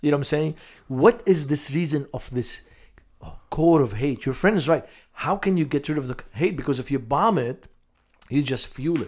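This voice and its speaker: Speaking at a moderate pace in a Lebanese accent, a man uses a fairly high voice with ordinary pitch variation. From Lebanon, Beirut. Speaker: missionary to Muslims. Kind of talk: interview.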